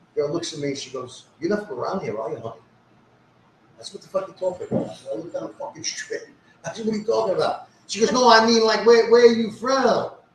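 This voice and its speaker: Very fast speech in a New York accent, with big swings in loudness and noticeable background noise. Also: man. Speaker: social media personality. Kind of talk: casual chat. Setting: live stream. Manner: animated.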